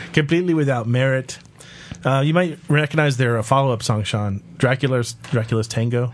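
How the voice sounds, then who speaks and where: Ordinary pitch variation in a man's speech, noticeable background noise underneath. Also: medium pitch for a man, moderate pace. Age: 30s. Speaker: podcast host. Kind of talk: casual chat. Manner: playful.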